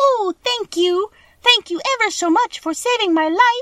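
In a squeaky, put-on character voice, a woman speaks at a moderate pace and an extremely high pitch. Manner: thankful.

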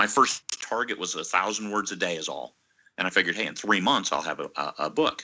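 A man with an American accent talks at a fairly quick pace, with vocal fry and very wide pitch swings. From US Midwest, Iowa. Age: 50s. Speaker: author and publisher, retired Marine. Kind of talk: interview conversation. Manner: halting, frequent fillers and restarts.

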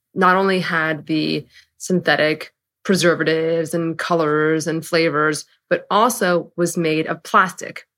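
A woman with an American accent has a normal speaking voice at a fairly low pitch, with fairly even intonation, on a very clean recording with a silent background. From San Francisco, US West Coast. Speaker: company founder and CEO. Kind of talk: interview.

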